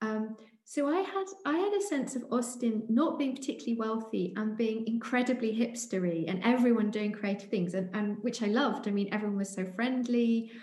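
A woman's fairly high voice with a British accent at a fairly quick pace, ordinary pitch variation and hardly any pauses, with audible room echo and noticeable background noise. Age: 40s. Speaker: writer and artist. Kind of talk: interview. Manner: halting, frequent fillers.

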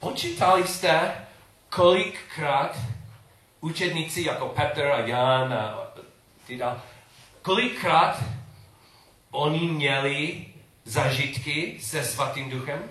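Speaking very slowly with long, frequent pauses, a man with an English accent has a fairly high pitch and ordinary pitch variation, with audible room echo around him. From England. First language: English (speaking Czech). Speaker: preacher. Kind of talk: sermon. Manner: halting.

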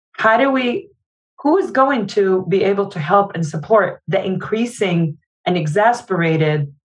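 A woman at a medium pitch talks at a fairly slow pace, her voice somewhat breathy and her intonation lively. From Jordan. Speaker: nonprofit founder. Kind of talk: interview.

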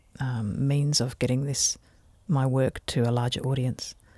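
A woman's very deep, low voice in an Australian accent, dark and mellow in tone, at a fairly slow pace in a very clean recording with a silent background. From Australia, Adelaide and Canberra. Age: 50s. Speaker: botanical artist. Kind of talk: casual chat. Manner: animated.

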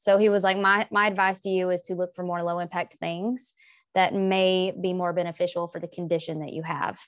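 Against a quiet background, a woman with an American accent speaks at a medium pitch and a fairly quick pace in a monotone, flat delivery. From US South. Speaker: English professor. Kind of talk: casual interview.

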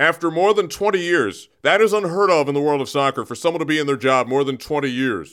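An ordinary speaking voice: a man with a fairly high pitch talks at a fairly quick pace with ordinary pitch variation. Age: young. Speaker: radio show segment commentator. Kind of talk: mock news commentary. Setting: radio studio.

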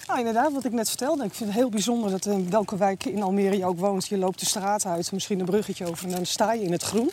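Talking very fast with hardly any pauses, a woman uses a medium pitch and ordinary pitch variation. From Amsterdam, Netherlands. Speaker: IT worker and police volunteer. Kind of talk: casual chat. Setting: outdoors, walking.

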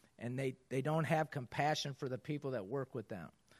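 Over a quiet background, a man with an ordinary speaking voice talks at a fairly quick pace with fairly even intonation. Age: 50s. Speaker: basketball coach speaking to business audience. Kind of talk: motivational talk.

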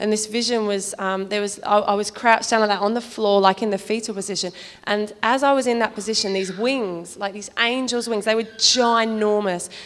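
A woman's voice, monotone with flat intonation, comes through noticeable background noise. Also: fairly high pitch for a woman, fairly quick pace. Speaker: church member giving testimony. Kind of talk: testimony.

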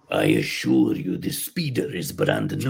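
A man puts on a character voice in a Russian accent, with a very deep, low pitch and a fairly slow pace. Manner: smooth salesman pitch.

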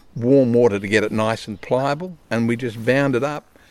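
Here is a man with an Australian accent at a medium pitch. The recording is very clean, with a silent background. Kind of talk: casual interview. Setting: outdoors by a river.

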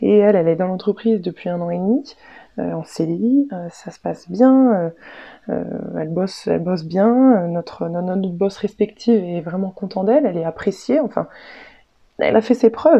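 A woman with a medium-pitched voice speaks at a moderate pace with ordinary pitch variation and big swings in loudness. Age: 20s. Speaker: work-study student. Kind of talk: testimony. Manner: halting.

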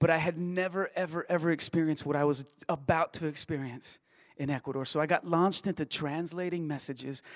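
In a very clean recording with a silent background, a man with a Spanish accent speaks at a fairly high pitch with fairly even intonation. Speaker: church staff member. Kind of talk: testimony. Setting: church.

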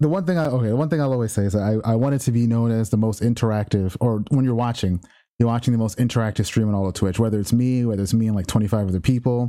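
With an American accent, a man rattles along at a very fast pace with hardly any pauses, his medium-pitched voice dark and mellow in tone and his pitch variation ordinary. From New York City (Brooklyn). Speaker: Twitch streamer. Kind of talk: casual chat. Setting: video call.

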